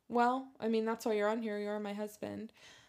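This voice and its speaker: A woman's fairly high-pitched voice in monotone, flat intonation. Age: 20s. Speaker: podcast host. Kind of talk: casual chat. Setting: home bedroom recording.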